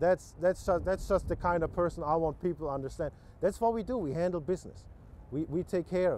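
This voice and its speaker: This man has a high pitch and a German accent, with ordinary pitch variation. He talks at a fairly quick pace. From Germany. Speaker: political candidate. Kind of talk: interview. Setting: TV news interview. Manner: unrehearsed, halting with many repetitions.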